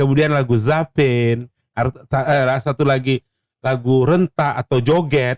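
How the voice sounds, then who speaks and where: Fairly slow delivery with fairly even intonation and very even loudness, in a dry, close sound with no echo. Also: man, medium pitch for a man. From North Sumatra, Indonesia (Batubara, Malay community). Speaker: Malay singer and high school teacher. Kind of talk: casual interview. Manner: halting, with many fillers.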